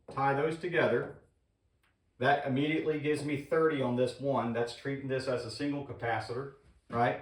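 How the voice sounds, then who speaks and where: The delivery is fairly quick, with fairly even intonation. Audible room echo is present. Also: man, fairly high pitch for a man. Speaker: HVAC instructor. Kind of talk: tutorial.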